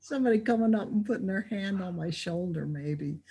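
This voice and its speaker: A somewhat breathy, dark, mellow tone on a very clean recording with a silent background. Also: woman. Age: 70s. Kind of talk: casual interview. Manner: animated.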